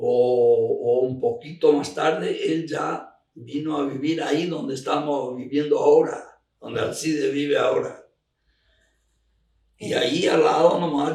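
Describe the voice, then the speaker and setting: The speaker is a man. His words ring with audible room echo. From Argentina, Misiones. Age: 80s+. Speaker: elderly farmer recounting local history. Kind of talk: oral history interview. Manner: halting, with repetitions.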